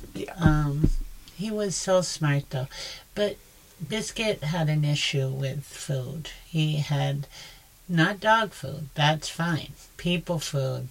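A woman speaks very slowly in a very deep, low voice that is somewhat breathy. Her pitch variation is ordinary. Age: older than 34. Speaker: podcast co-host. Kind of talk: casual chat.

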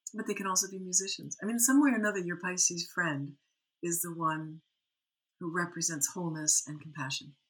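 With an American accent, a woman talks at a fairly quick pace in a plain, everyday voice, fairly low in pitch, with ordinary pitch variation and big swings in loudness. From US Midwest, Lake Michigan area. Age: 50s. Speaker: Ayurveda and Jyotish teacher. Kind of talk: interview conversation.

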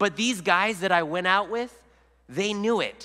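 A man with a high pitch speaks in a raised, projected voice at a fairly slow pace with ordinary pitch variation. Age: 40s. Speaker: lay preacher. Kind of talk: sermon. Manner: halting.

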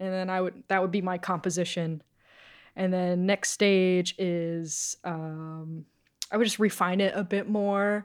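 In an American accent, a woman speaks at a medium pitch with fairly even intonation and a very slow pace. The recording is very clean, with a silent background. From Massachusetts (Rockport). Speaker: comic book artist. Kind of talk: casual interview. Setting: studio.

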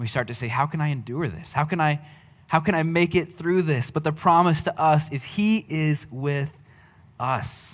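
A man speaks at a moderate pace in a fairly high pitch, somewhat breathy. The recording is very clean with a silent background. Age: 30s. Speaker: pastor. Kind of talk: sermon. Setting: church.

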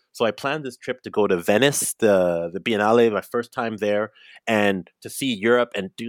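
Dry and close with no echo, a man with a normal speaking voice talks at a fairly low pitch and moderate pace, with ordinary pitch variation and big swings in loudness. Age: 40s. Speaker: multidisciplinary artist. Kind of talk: casual chat. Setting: remote call.

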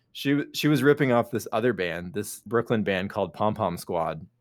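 The background is completely silent on this very clean recording. A man races through his words at a very fast clip. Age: 40s. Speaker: podcast co-host. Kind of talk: casual chat.

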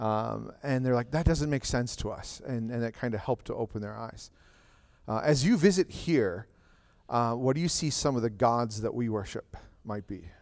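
With a normal speaking voice, a man talks in a medium pitch at a moderate pace and ordinary pitch variation. The recording is very clean, with a silent background. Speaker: pastor. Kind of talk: church service. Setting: church.

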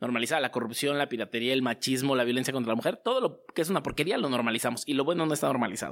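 In a Mexico City accent, a man speaks at a very fast pace with very even loudness and ordinary pitch variation, in a very clean recording with a silent background. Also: medium pitch for a man, hardly any pauses. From Mexico City (Azcapotzalco). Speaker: merchandise and poster entrepreneur. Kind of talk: interview. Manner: casual, slangy.

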